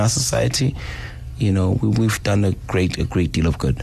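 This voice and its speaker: A man with a very deep, low voice speaks with lively intonation over noticeable background noise. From South Africa, Durban. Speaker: hip hop DJ. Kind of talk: interview about grief. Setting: radio studio. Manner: halting.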